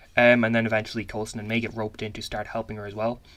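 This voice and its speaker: A man's medium-pitched voice with monotone, flat intonation, on a very clean recording with a silent background. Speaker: YouTube pop culture commentator. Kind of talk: casual commentary video. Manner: fast.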